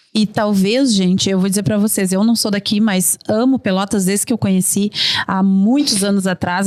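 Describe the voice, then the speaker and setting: Her voice is fairly high and animated. This woman's pitch varies in an ordinary way. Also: dry, close sound with no echo. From Rio Grande do Sul, Brazil (São Gabriel). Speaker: tourism park founder. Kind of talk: podcast panel conversation. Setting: studio.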